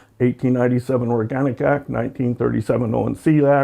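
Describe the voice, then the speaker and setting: Speaking in a Pacific Northwest accent, a man keeps a moderate pace and medium pitch with monotone, flat intonation. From Oregon, US Pacific Northwest. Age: 70s. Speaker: political candidate. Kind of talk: interview. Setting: in-person interview. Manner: halting, many fillers.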